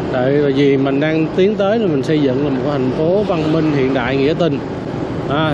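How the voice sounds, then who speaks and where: Loud background noise fills this dry recording with no echo, where the speech moves at a moderate pace. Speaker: street vlogger. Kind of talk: casual commentary. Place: motorbike.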